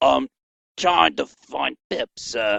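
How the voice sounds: A man's raspy, put-on character voice at a medium pitch, dry and close with no echo.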